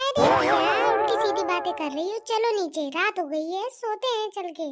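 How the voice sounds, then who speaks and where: A woman puts on a squeaky, cartoonish character voice. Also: moderate pace. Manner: joking, bantering.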